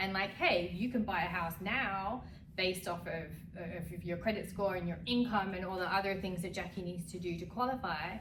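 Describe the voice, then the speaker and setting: With an American accent, a woman speaks at a moderate pace and medium pitch, her intonation fairly even. Audible room echo and noticeable background noise fill the recording. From London, England. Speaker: real estate agent. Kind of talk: casual conversational explainer.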